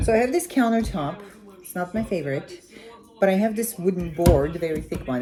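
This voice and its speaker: A woman speaks with lively intonation. Noticeable background noise is present. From Armenia. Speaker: cooking vlogger. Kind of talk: cooking tutorial. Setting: home kitchen. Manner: casual, chatty with hesitations.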